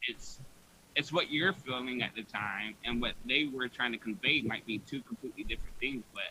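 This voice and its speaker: Using an ordinary speaking voice, a man talks at a moderate pace, his pitch varying in an ordinary way. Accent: American. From US South. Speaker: podcast host. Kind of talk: casual chat.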